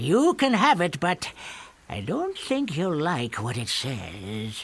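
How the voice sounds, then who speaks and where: A very slow, middle-pitched put-on character voice. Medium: video game. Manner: blunt, matter-of-fact.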